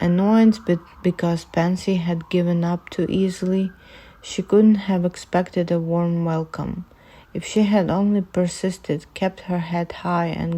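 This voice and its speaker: A woman with a non-native accent speaks in a monotone, flat way at a fairly low pitch and fairly slow pace, her dark, mellow tone caught on a very clean recording with a silent background. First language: not English. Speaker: amateur fanfiction reader. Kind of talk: reading aloud. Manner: halting, self-correcting.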